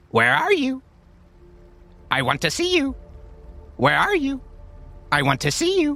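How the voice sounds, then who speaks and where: A man puts on a raspy character voice, pitched extremely high, at a moderate pace with long, frequent pauses. Faint music plays in the background. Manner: mocking.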